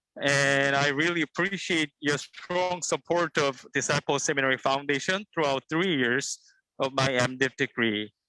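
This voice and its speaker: Bright and sharp in tone, a man's fairly high voice keeps a very even loudness. His pitch varies in an ordinary way. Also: moderate pace, dry, close sound with no echo. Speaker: seminary graduate. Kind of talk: short speech of thanks. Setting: video call while walking outdoors.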